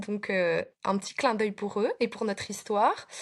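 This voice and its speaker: A woman with a slight Belgian accent speaks in a fairly high voice, in a very clean recording with a silent background. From Belgium. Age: 30s. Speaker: preschool teacher. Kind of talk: casual interview.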